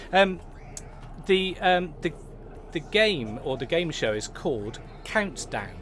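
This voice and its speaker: A man with an English accent and a high pitch speaks very slowly, his pitch swinging very widely, with long, frequent pauses and audible room echo. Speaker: pub live-stream host. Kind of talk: casual chat. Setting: pub. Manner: hesitant, many fillers; loud.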